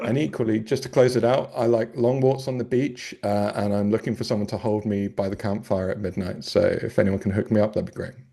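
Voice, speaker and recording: Speaking at a fairly quick pace, a man with a British accent has a dark, mellow tone. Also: medium pitch for a man, ordinary pitch variation, hardly any pauses. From UK. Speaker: brand strategist and podcast host. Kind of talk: panel discussion. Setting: video call. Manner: jokey, playful.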